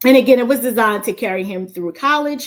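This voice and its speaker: A woman talks at a very fast pace. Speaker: finance YouTuber and nurse. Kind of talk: casual planning walkthrough.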